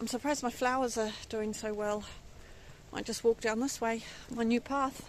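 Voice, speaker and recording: A woman speaks at a moderate pace with long, frequent pauses. Her fairly high voice stays monotone, with flat intonation. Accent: English. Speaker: allotment gardener and vlogger. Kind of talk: casual vlog talk. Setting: outdoors in allotment garden.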